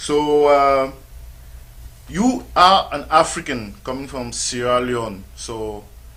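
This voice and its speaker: A man speaks at a very slow pace and a medium pitch, with ordinary pitch variation, big swings in loudness, a bright, sharp tone and audible echo from the room. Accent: non-native. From Cameroon. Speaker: radio sports show host. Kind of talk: interview. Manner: hesitant, many fillers.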